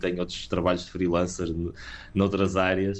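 The man's pitch is very deep and low. His intonation is monotone and flat. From Portugal, partly raised in England. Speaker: rock band singer. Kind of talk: interview. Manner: halting, many fillers.

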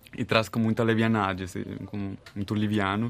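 A man with a Brazilian accent speaks at a fairly low pitch with fairly even intonation. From Colombia, Bogotá. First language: Spanish (speaking Portuguese). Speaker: therapist. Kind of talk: casual chat.

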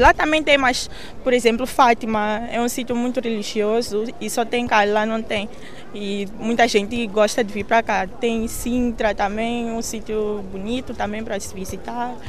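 There is audible room echo and noticeable background noise as a woman with a fairly high pitch talks at a moderate pace. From Mozambique, Maputo. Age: 20s. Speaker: university student. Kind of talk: interview.

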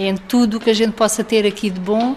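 This woman's fairly high-pitched voice comes through over noticeable noise in the background. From Portugal, Algarve (Faro). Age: 30s. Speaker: former resident of a children's care home. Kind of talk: interview testimony. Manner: halting.

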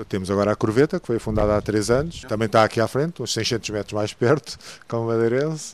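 A man's medium-pitched voice rushes along at a very fast pace. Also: ordinary pitch variation. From Portugal, Santarém. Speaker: diving instructor. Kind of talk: radio interview. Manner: halting.

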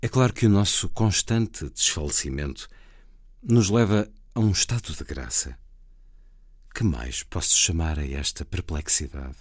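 On a very clean recording with a silent background, a man with a European Portuguese accent speaks in a calm tone and a very deep, low, somewhat breathy voice at a fairly slow pace, with very wide pitch swings and long, frequent pauses. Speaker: radio host. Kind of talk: poetry reading in translation, read aloud, plus show intro. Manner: measured, calm, reflective reading.

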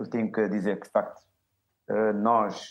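Here a man speaks at a moderate pace in a fairly low pitch. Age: 40s. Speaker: university professor. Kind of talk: televised panel debate. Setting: video call.

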